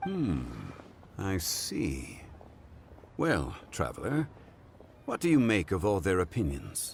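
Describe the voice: Putting on a character voice, a man speaks slowly at a low pitch with vocal fry and very wide pitch swings.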